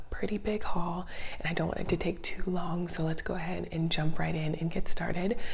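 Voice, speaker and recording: Soft-spoken and in a calm, relaxed tone, a woman talks at a fairly quick pace with a fairly low pitch and monotone, flat intonation over noticeable background noise. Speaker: ASMR content creator. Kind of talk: soft-spoken ASMR grocery haul show and tell. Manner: soft-spoken, calm, relaxed.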